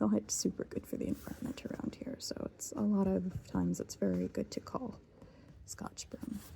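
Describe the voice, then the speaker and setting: Soft-spoken, this voice moves at a fairly slow pace. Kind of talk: casual talk to camera, ASMR rambling.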